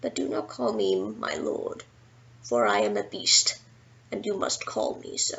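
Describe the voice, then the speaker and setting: The speaker uses a put-on character voice at a fairly slow pace. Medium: read story. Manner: solemn, formal.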